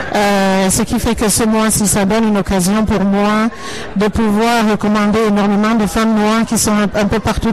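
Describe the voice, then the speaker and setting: A woman speaks at a medium pitch and a fairly slow pace. Noticeable background noise runs underneath. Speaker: entrepreneur, consultant. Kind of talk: radio interview. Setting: noisy event with background music.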